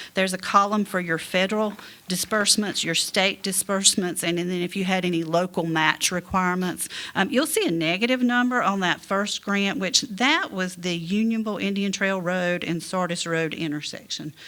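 A woman's voice at a medium pitch, bright and sharp in tone, with ordinary pitch variation. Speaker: auditor presenting to town council. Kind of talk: presentation at public meeting. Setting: town council meeting. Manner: fast.

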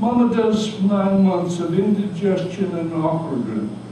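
A man speaks very slowly in a high voice. Noticeable background noise and strong room echo fill the recording. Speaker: retired doctor. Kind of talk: poetry reading. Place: cafe. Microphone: camera far.

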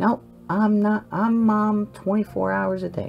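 Over clear background music, a female-sounding voice does a put-on character voice, soft-spoken and at a very slow pace. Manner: sweet, warm.

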